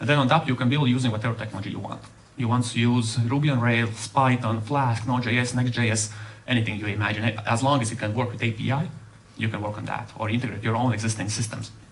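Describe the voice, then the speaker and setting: With audible room echo and noticeable background noise, a man talks at a very fast pace and medium pitch with fairly even intonation. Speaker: software developer. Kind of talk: conference talk.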